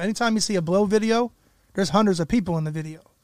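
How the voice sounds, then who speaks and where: A man at a very fast pace with ordinary pitch variation, in a dry, close sound with no echo. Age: 30s. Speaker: rapper. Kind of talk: casual chat. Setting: studio.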